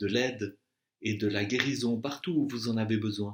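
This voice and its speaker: This man has a normal speaking voice at a medium pitch. He talks at a fairly slow pace. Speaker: meditation and Yoga Nidra guide. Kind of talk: guided relaxation / Yoga Nidra session. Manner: calm, slow, soothing.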